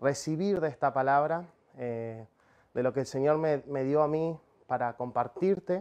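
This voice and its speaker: Against a quiet background, a man with a Rioplatense accent talks at a fairly slow pace in a fairly high voice with ordinary pitch variation. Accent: Argentine Spanish (rioplatense). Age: 30s. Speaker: preacher, missionary and professional cook; preacher. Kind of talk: sermon. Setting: speaking to a camera, livestreamed meeting. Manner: halting, many filler sounds. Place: studio. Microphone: lapel.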